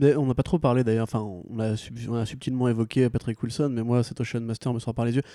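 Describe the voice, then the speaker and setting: A man's medium-pitched, dark, mellow voice at a very fast pace, monotone and flat in intonation, dry and close with no echo on a very clean recording with a silent background. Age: 20s. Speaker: comics blog writer. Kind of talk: casual chat.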